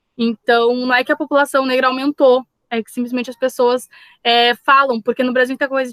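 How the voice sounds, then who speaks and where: A woman talks at a moderate pace. Her voice is high-pitched. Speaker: Portuguese teacher. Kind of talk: lecture.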